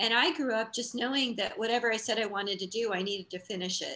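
The tone is bright and sharp, with ordinary pitch variation. The pace is fairly quick. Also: woman. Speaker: interview guest. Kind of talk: interview answer. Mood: warm, upbeat. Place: home room. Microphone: video call.

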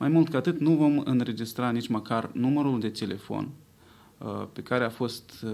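A man talks at a moderate pace. His voice has ordinary pitch variation. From Moldova. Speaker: pollster. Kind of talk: press conference. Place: hall. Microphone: podium.

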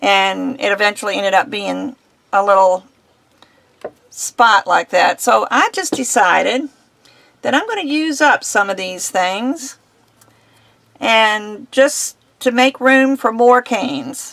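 A woman at a very slow pace, long, frequent pauses, quiet background. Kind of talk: tutorial. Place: home room.

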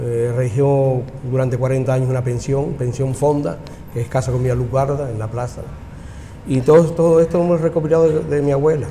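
A man's voice moves at a moderate pace, its pitch varying in an ordinary way, with light background noise underneath. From Buenavista del Norte, Tenerife; Tenerife. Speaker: restaurant owner. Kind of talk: casual chat. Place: cafe. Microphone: lapel.

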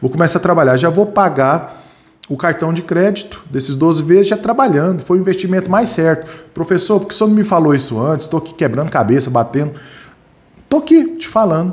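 Lively intonation marks this man's high-pitched voice. He talks at a fairly quick pace. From Brazil, Goiás. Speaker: security training instructor. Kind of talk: live online class. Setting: live stream studio. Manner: animated. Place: home room. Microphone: studio mic.

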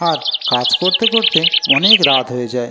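A man at a moderate pace, bright and sharp in tone, with lively intonation. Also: medium pitch for a man.

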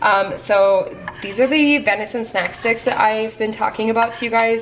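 Over music playing in the background, a woman speaks with ordinary pitch variation. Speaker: home vlogger. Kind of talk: casual vlog chat. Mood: cheerful, chatty. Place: kitchen. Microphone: phone near.

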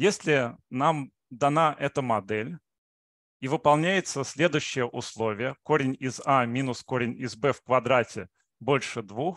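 A man at a very slow pace with ordinary pitch variation, dry sound with no echo, and a quiet background. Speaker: mathematics researcher. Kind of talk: lecture. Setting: video call. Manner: halting, with frequent filler sounds. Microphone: video call.

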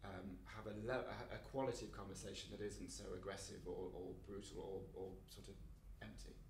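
In an East Midlands accent, a man is heard with audible room echo. Light background noise is also present. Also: moderate pace. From England, East Midlands (Mansfield, Nottinghamshire); East Midlands, England. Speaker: playwright; interviewee. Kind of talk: casual interview. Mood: relaxed, self-deprecating. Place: home room.

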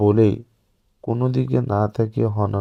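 Reading aloud in a natural voice with fairly even intonation against a quiet background

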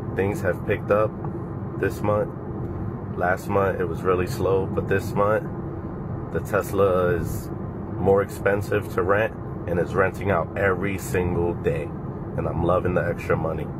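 A man at a moderate pace with long, frequent pauses over loud background noise. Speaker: car rental host. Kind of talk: casual vlog chat. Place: car. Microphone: phone near.

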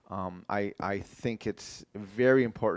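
Against a quiet background, a man with a fairly low pitch is heard in a dry sound with no echo. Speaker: keynote speaker. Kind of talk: lecture. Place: hall.

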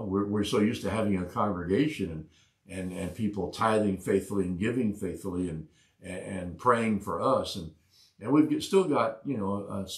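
This man speaks at a moderate pace in a fairly low, somewhat breathy voice with ordinary pitch variation, audible room echo and a quiet background. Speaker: pastor, online Bible study host. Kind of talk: preaching, conversational sermon. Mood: calm, earnest.

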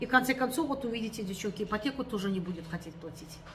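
A woman talks very fast while light background noise sits behind her. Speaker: vlogger. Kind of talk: casual vlog chat. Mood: aggrieved, complaining. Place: home room. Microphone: phone near.

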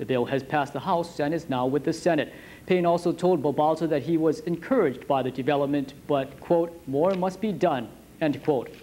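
At a fairly quick pace, a man talks with a dark, mellow tone and ordinary pitch variation over light background noise. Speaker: news anchor. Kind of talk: formal newsreading, polished TV anchor delivery with puns. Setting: studio. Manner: formal; smooth, scripted, steady broadcast pace. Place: studio. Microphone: lapel.

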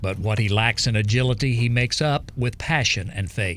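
At a moderate pace comes a plain, everyday voice. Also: man. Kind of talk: news report narration.

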